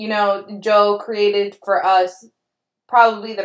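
An unforced reading voice comes through. The background is quiet.

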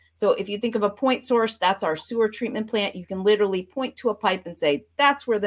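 With an ordinary speaking voice, a woman in an American accent talks at medium pitch with lively intonation on a very clean recording with a silent background. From Vermont, US Northeast. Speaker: professor. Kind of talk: interview.

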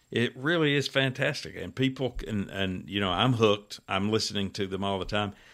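A man with an American accent, fairly low pitch, lively intonation and a fairly quick pace, on a very clean recording with a silent background. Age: 60s. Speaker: author and defense attorney. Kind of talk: interview. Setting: studio.

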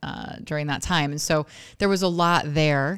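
A woman with an American accent talks at a fairly quick pace, her very deep, low pitch carried on fairly even intonation. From Oregon, US West Coast. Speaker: city mayor. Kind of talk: interview before a live audience. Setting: room with live audience.

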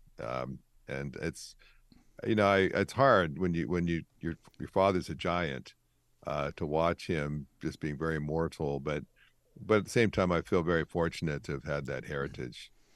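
A man with a Canadian accent speaks at a moderate pace in a very deep, low pitch with vocal fry and ordinary pitch variation against a quiet background. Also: dry, close sound with no echo. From Canada. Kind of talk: interview conversation. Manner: halting, frequent repetitions.

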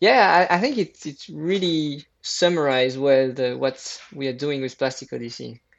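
A man with a fairly high pitch talks at a moderate pace with hardly any pauses, ordinary pitch variation and big swings in loudness. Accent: French. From France. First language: French. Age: 30s. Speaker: environmental entrepreneur. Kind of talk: interview. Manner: halting.

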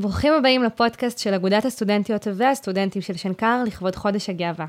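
In a very clean recording with a silent background, a woman with an ordinary speaking voice talks at medium pitch and a moderate pace with ordinary pitch variation. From Israel, Haifa Krayot. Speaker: student podcast host. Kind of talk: interview.

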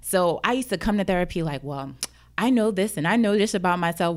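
A woman speaks at a fairly quick pace with lively intonation and medium pitch. The recording is very clean, with a silent background. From New Jersey, Jersey City. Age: 30s. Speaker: entrepreneur and counselor. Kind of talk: interview, personal testimony. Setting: studio.

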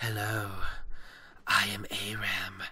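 A man whispers. He uses a put-on character voice. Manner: soft, confident, suave.

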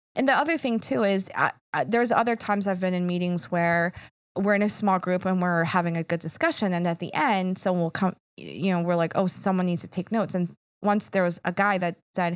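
On a very clean recording with a silent background, a woman with an American accent talks at a fairly quick pace in a plain, everyday voice, medium in pitch with ordinary pitch variation. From Philadelphia. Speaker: nonprofit advocacy executive. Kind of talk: casual interview.

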